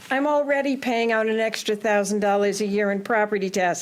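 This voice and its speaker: A woman at a moderate pace with ordinary pitch variation, noticeable background noise behind her. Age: 70s. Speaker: retired teacher speaking at public hearing. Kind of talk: public comment, reading a prepared statement. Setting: town council public hearing.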